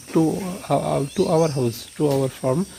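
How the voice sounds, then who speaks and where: A man with a Bengali accent and fairly high pitch, amid noticeable background noise. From Bangladesh. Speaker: cattle farmer. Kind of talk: casual vlog tour. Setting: farm, cowshed. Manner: halting, many fillers.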